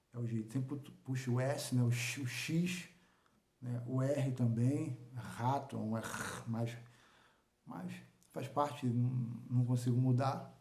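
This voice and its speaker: A man speaks very slowly with long, frequent pauses and a strong Carioca accent. His medium-pitched voice keeps a fairly even intonation amid audible room echo. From Rio de Janeiro, Brazil. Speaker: local news vlogger. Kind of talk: informal monologue to viewers. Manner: halting, many repetitions and fillers.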